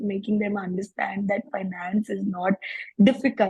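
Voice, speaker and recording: Somewhat breathy with a dark, mellow tone, a woman speaks at medium pitch and a moderate pace. Her intonation is flat and monotone. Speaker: financial educator. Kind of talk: networking circle introduction.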